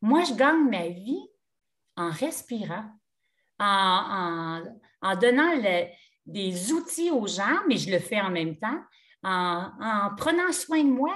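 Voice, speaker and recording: A woman with a Quebec accent speaks very slowly at a medium pitch. Her pitch swings very widely, and she takes long, frequent pauses. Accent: Québécois French. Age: 60s. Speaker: yoga teacher. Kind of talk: casual chat.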